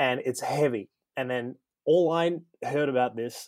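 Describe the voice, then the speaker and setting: Ordinary pitch variation from a man with an Australian accent. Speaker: comedian. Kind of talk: storytelling.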